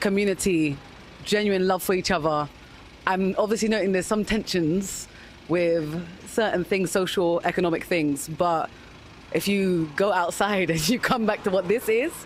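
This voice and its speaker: A woman with a London accent speaks at medium pitch with very even loudness. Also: ordinary pitch variation, moderate pace. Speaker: interviewee. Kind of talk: vox pop interview.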